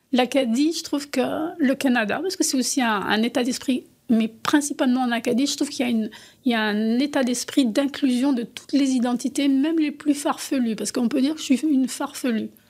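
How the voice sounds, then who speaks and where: A woman speaks at a fairly quick pace in a high voice with ordinary pitch variation, on a very clean recording with a silent background. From France. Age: 60s. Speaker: artist and former teacher. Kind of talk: interview.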